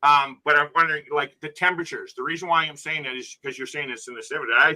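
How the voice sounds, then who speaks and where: A man's fairly high, bright and sharp voice at a very fast pace, with fairly even intonation and big swings in loudness. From Canada. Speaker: peer support group member. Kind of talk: casual chat.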